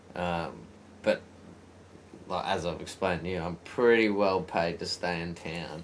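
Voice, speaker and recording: A man speaks with an Australian accent in a very deep, low voice, at a fairly slow pace with fairly even intonation and long, frequent pauses. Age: 30s. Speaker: podcast host. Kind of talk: casual chat.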